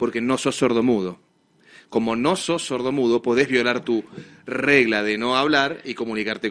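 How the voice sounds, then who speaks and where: A man speaks in a Rioplatense accent. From Argentina. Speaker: radio host. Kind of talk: live radio talk show. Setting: radio studio, streamed live. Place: studio.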